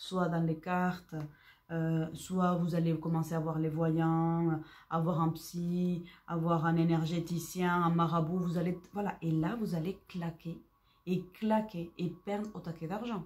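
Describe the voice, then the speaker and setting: A woman speaks at a very slow pace in a fairly low pitch. Her voice is somewhat breathy, with monotone, flat intonation. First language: not French (speaking French). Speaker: psychic medium. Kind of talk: spiritual guidance talk. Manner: hesitant, repeats words.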